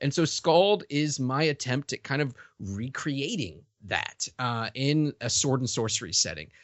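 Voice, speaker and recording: Using an unremarkable speaking voice, a man with an American accent talks at a fairly slow pace, his fairly high pitch carrying lively intonation. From US South, Richmond, Virginia. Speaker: comic writer and podcaster. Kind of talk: interview. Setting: remote call.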